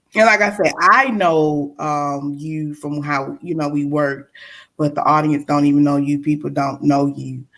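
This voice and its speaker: The speaker has a Mississippi accent. The pace is moderate and the intonation fairly even. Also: woman, very deep, low pitch for a woman. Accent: Mississippi Southern. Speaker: podcast host. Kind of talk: interview.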